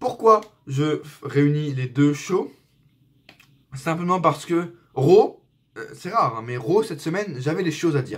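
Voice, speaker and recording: An animated man's voice, high in pitch, with very wide pitch swings at a fairly slow pace. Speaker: wrestling YouTuber. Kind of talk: casual review vlog. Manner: hesitant with fillers.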